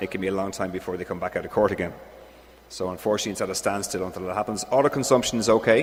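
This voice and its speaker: Noticeable background noise surrounds this recording. The man's pitch is fairly low. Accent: strong Irish. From Ireland. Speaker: engineer presenting at a conference. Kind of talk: conference Q&A answer.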